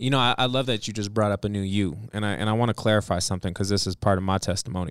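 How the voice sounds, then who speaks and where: A man with an American accent speaks very fast at a fairly low pitch, with hardly any pauses. His intonation stays fairly even, and the recording is very clean with a silent background. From US inner city. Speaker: podcast co-host and chef. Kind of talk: casual chat.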